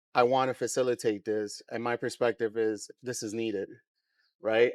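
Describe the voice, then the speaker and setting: In a New York accent, a man talks at a moderate pace with monotone, flat intonation. The sound is dry and close with no echo, on a very clean recording with a silent background. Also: medium pitch for a man. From New York, Queens. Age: 40s. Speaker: brand co-founder. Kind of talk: podcast interview.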